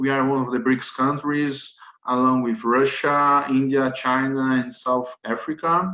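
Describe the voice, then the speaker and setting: Speaking in a Brazilian accent, a man with a medium-pitched voice and a bright, sharp tone talks at a fairly slow pace with fairly even intonation. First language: Portuguese. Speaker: lawyer. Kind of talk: webinar presentation. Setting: webinar. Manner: halting.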